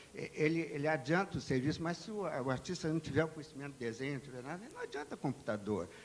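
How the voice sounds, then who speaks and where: Very fast speech from a man with a fairly high pitch and ordinary pitch variation. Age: 70s. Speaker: artist. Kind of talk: panel talk. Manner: halting, with repetitions.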